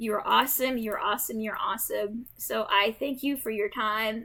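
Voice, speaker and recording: This woman's voice is fairly high, with a bright, sharp tone. She talks at a fairly slow pace with fairly even intonation. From Jamaica. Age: 30s. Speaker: gaming streamer. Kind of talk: casual gameplay chat. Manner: rambling, many fillers.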